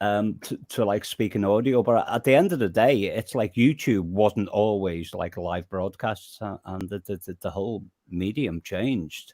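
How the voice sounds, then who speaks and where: With hardly any pauses, a man speaks in a dark, mellow, fairly low voice, the sound dry and close with no echo on a very clean recording with a silent background. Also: ordinary pitch variation, moderate pace. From Merseyside, England (Birkenhead). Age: 50s. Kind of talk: casual chat. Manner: halting, many repeated words.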